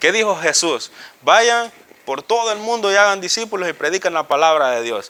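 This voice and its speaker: A man's high-pitched, raised and projected voice with lively intonation. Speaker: Bible teacher. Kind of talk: Bible class teaching. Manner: fast.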